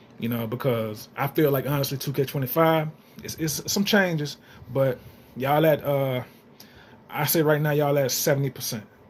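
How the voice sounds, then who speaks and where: A man speaks with a fairly high pitch and ordinary pitch variation. He leaves long, frequent pauses. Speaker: gaming YouTuber. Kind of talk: casual vlog commentary. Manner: fast; animated.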